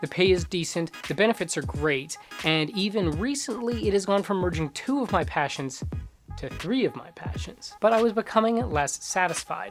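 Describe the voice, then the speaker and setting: Background music plays as the speech unfolds at a moderate speed. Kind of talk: personal vlog voice-over.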